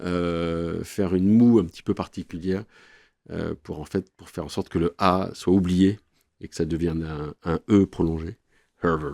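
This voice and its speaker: On a very clean, dry, close recording with a silent background and no echo, a man speaks fairly slowly in a very deep, low voice with a dark, mellow tone, fairly even intonation and big swings in loudness. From France. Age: 50s. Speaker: corporate lawyer. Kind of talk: podcast interview.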